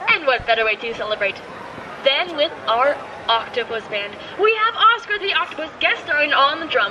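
The speech moves at a moderate pace, with noticeable background noise behind it. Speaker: theme park boat ride guide. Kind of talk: scripted theme park boat-tour spiel with corny jokes. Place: boat.

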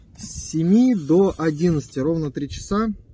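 Over loud background noise, a man speaks with a high voice and lively intonation, the sound dry with no echo. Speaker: metal detecting vlogger. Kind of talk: casual vlog commentary. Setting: outdoors in a field. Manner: animated. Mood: pleased, excited. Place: open country.

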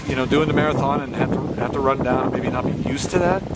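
Loud noise fills the background of this dry recording, which has no echo at all. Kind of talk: interview questions. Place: garden.

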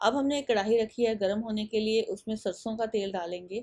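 A woman's fairly high, slightly mellow voice at a fairly quick pace. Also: ordinary pitch variation.

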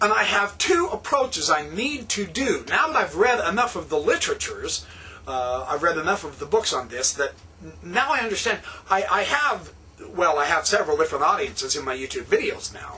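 A man's raised, projected voice at a fairly quick pace, with very wide pitch swings. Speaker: religious vlogger. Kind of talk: lecture-style vlog monologue. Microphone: webcam.

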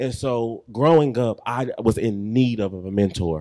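The background is quiet. A man with an American accent talks with fairly even intonation. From Texas (Waco); Texas. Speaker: mentoring speaker, former police officer; speaker. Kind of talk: church talk / testimony; personal testimony talk. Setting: church with audience. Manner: hesitant, many fillers. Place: church. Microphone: handheld.

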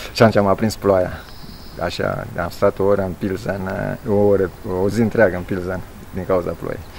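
A man with a very deep, low pitch, a moderate pace, long, frequent pauses and big swings in loudness, over light background noise. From Romania, Alba county, Transylvania; Transylvania, Romania. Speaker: masters athlete and long-distance cyclist. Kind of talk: interview. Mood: cheerful, smiling. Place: street.

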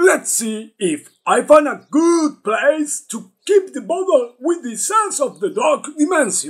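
Using a cartoonish character voice at an extremely high pitch, a man speaks at a fairly slow pace with hardly any pauses.

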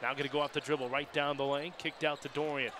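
Over loud background noise, a man with a fairly high pitch speaks in an animated tone. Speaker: basketball play-by-play announcer. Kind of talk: live basketball play-by-play commentary. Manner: animated, rising excitement on made shots. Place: stadium. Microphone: headset.

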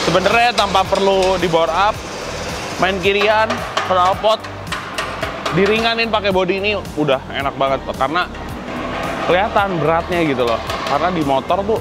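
Against clear music in the background, a man talks at a fairly quick pace with ordinary pitch variation. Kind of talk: casual vlog chat. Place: workshop. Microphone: lapel.

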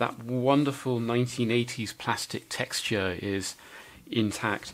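A man talks at a fairly slow pace. His intonation stays fairly even. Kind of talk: tutorial. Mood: wry, self-deprecating. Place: workshop.

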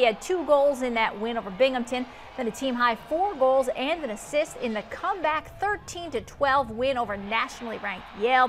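Over noticeable background noise, a woman speaks fairly quickly in a high pitch with lively intonation. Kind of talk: sports news report read by an anchor.

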